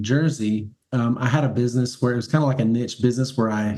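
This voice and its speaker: In a Southern US accent, a man talks at a fairly quick pace. His tone is dark and mellow, with fairly even intonation. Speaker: cleaning business owner. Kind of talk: interview. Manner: halting.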